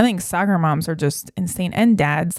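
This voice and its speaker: A woman's medium-pitched, animated voice at a moderate pace with ordinary pitch variation, on a very clean recording with a silent background. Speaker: podcast co-host, mother. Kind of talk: casual chat. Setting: home basement. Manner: loud.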